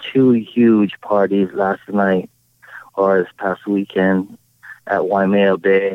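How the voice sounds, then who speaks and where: A man with a Hawaiian accent, his fairly low voice monotone and flat. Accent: Hawaiian local English. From Hawaii, Oahu. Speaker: tiki bar owner. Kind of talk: casual chat. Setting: outdoors in a park.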